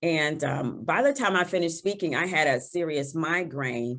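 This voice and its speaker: On a very clean recording with a silent background, a woman speaks at a fairly low pitch with lively intonation. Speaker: toastmasters competitor on a panel. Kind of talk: panel discussion.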